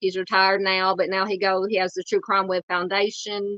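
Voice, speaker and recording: This woman speaks with a Southern accent at a moderate pace. Her pitch sits in the medium range. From US South, Arkansas. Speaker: true crime YouTuber. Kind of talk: live stream chat. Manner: halting, many fillers.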